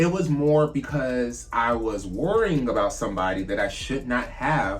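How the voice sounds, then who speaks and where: Audible room echo surrounds a man's medium-pitched voice. His tone is animated, with very wide pitch swings. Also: moderate pace. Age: 30s. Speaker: drag queen vlogger. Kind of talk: casual vlog monologue.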